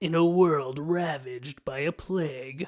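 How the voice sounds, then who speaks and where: A man puts on a character voice at a fairly high pitch. He talks at a moderate pace. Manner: dramatic, portentous.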